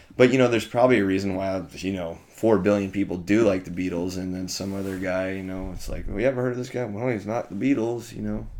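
An American-accented man with a fairly low pitch rushes along at a very fast pace with hardly any pauses and fairly even intonation, amid audible room echo. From Ellensburg, Washington, US Pacific Northwest. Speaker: musician. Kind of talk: casual chat.

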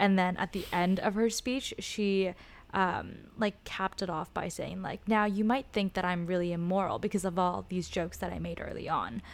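The speaker has a West Coast US accent. The pace is moderate and the intonation fairly even. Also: woman, medium pitch for a woman. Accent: General American, West Coast. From Los Angeles. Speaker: former student debater. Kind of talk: casual interview.

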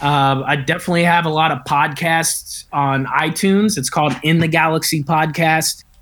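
A man with an American accent speaks in a plain, everyday voice at a fairly high pitch and a moderate pace. His intonation is fairly even, his loudness very even, and he leaves hardly any pauses. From Kentucky, US South. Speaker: comedian and filmmaker. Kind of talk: casual chat. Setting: video call.

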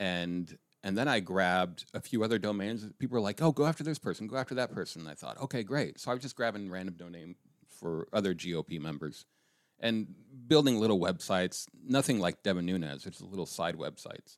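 A man with an unremarkable speaking voice talks at a fairly quick pace and fairly low pitch. The recording is very clean, with a silent background. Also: lively intonation. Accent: General American. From Colorado. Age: 50s. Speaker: political satirist. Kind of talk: casual chat.

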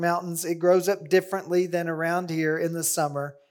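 On a very clean recording with a silent background, a man with a high pitch talks at a moderate pace. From US Ozarks. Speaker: biblical counseling teacher. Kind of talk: conference lecture.

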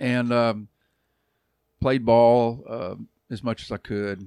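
A man speaks with an American accent in a fairly low, dark, mellow tone at a fairly slow pace. The recording is very clean with a silent background, and the sound is dry and close with no echo. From Texas, Arlington. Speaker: pastor and youth minister. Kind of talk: casual interview, personal testimony.

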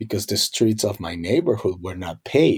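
A man with a Colombian accent, fairly low-pitched and somewhat breathy, on a very clean recording with a silent background. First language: Spanish. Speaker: Spanish teacher. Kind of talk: interview conversation. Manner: hesitant, frequent fillers.

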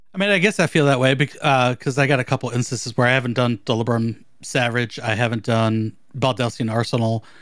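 An animated man's medium-pitched voice at a fairly quick pace, with ordinary pitch variation, hardly any pauses, very even loudness, and a very clean recording with a silent background. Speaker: podcast co-host. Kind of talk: casual chat. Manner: joking, animated.

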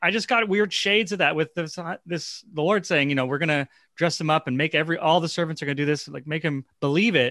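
A man talks very fast with hardly any pauses, his fairly high voice bright and sharp with ordinary pitch variation. The sound is dry and close with no echo against a quiet background. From Toronto, Canada. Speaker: actor. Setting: remote recording.

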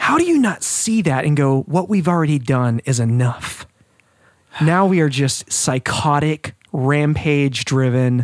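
A man talks at a fairly slow pace in a fairly high pitch, with a plain, everyday voice. His loudness stays very even, and his pitch variation is ordinary. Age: 30s. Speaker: podcast co-host. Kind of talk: casual chat.

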